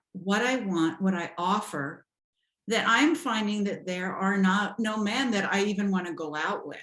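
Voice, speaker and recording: In an American accent, a woman speaks with lively intonation amid audible room echo. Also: medium pitch for a woman, moderate pace. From US West Coast, Los Angeles. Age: 60s. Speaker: dating and life coach. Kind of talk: interview. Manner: animated.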